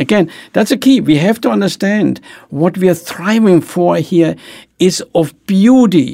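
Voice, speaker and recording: A man speaks with a German accent and a dark, mellow tone. His pitch is high and his intonation lively. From Germany. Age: 80s+. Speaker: author, business executive. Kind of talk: interview, podcast conversation. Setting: studio. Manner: halting, hesitant.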